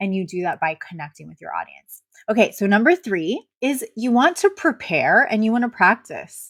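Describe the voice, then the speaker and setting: A woman talks at a moderate pace with hardly any pauses, her fairly high pitch swinging very widely and her loudness swinging a lot. The recording is very clean, with a silent background and a dry, close sound with no echo. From Puerto Rico. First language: Spanish. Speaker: marketing coach. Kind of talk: video talk to camera. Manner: conversational; occasional stumbles over words.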